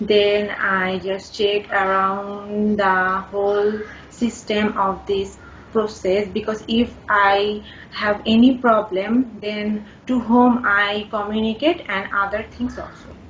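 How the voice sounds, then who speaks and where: A woman speaks at a very slow pace. Her medium pitch stays monotone, with flat intonation. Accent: Bangladeshi. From Bangladesh. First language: Bengali. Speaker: IELTS test candidate. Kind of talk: speaking exam interview. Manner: halting.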